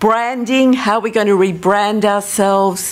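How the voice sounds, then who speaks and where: In an Australian accent, a woman speaks at a fairly slow pace with ordinary pitch variation. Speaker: social policy professor. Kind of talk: conference talk. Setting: stage with audience.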